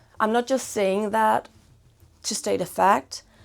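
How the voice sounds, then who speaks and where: A woman mumbling at medium pitch with ordinary pitch variation, music in the background. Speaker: fashion and lifestyle vlogger, band member. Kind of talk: casual vlog, gift guide. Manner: rambling, casual, some mumbling.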